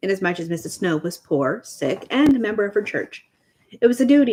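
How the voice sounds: Lively intonation from a natural reading voice, the background quiet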